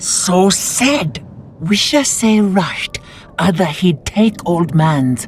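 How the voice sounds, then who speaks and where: A put-on character voice at middle pitch, very slow, over clear background noise. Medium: video game. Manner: broken grammar, halting.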